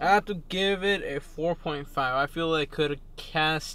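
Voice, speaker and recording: A man speaks at a very slow pace. The sound is dry, with no echo. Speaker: co-host reviewer. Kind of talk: casual review chat. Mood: relaxed, thoughtful. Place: car.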